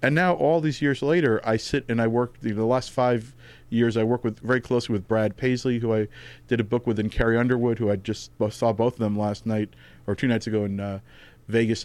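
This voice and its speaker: A man with a New York accent talks at a fairly quick pace in a medium pitch with ordinary pitch variation, on a very clean recording with a silent background. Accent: New York area American. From New Jersey, US (Tenafly, North Jersey). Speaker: comedy writer and music journalist. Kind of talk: casual interview chat.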